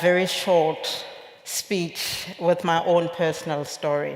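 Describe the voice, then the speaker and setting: Against noticeable background noise, the speech moves at a very slow pace with fairly even intonation. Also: woman. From Lesotho. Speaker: industry association CEO. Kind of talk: keynote speech. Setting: conference stage with audience.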